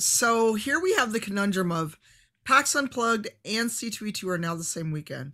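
At a moderate pace, the voice has a bright, sharp tone and lively intonation. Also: woman, fairly high pitch for a woman, quiet background. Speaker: creative director and streamer; streamer. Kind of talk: casual chat. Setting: video call. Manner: blunt. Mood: candid, humorous, animated.

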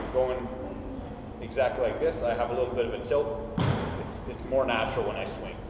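A man's voice comes through loud background noise with audible room echo. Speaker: class instructor. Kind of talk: tutorial. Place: hall. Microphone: camera far.

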